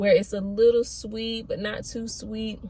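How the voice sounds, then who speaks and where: With noticeable background noise behind her, a woman speaks at a very slow pace with fairly even intonation. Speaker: pregnancy vlogger and cosmetologist. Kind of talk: casual vlog talk to camera. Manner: monotone; hesitant, many fillers.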